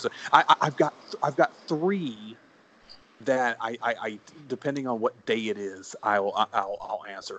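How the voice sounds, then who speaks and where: A man is speaking. He has a Southern US accent. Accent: Southern US drawl. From US South, born in South Carolina, now Texas. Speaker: guest, college sports podcaster. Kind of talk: casual chat, interview.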